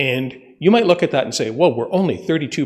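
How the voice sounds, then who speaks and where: With lively intonation and a fairly high pitch, a man talks in a normal speaking voice. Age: 60s. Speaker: ambulance service consultant. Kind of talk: presentation to council. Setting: council meeting.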